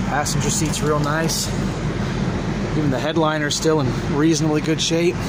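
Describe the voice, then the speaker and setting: The sound is dry, with no echo, and loud noise fills the background. The speaker keeps a moderate pace. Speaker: car seller. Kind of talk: walkaround commentary. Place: car. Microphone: phone near.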